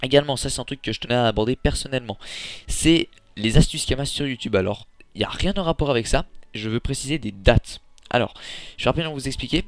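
A man's medium-pitched voice at a very fast pace, with ordinary pitch variation, long and frequent pauses, and a very clean recording over a silent background. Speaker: gaming youtuber. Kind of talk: casual vlog talk to viewers. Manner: hesitant with many fillers.

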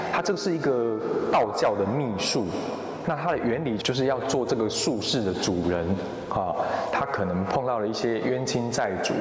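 With lively intonation, a man talks at a moderate pace. Audible room echo and light background noise are present. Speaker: adventure video host. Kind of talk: explanatory commentary to camera. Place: hall.

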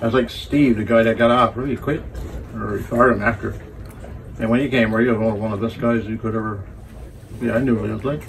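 A man with a strong Newfoundland accent at a very fast pace, fairly even intonation, long, frequent pauses and light background noise. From Newfoundland, Canada (Burgeo); Newfoundland, Canada. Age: 70s. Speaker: sailor. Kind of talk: casual storytelling chat; casual storytelling. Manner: halting, repetitive.

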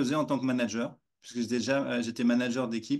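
The background stays quiet. A man speaks at a moderate speed. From France. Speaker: walking coach. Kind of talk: interview; interview answer. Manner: halting. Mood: warm, smiling. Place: home room. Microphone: video call.

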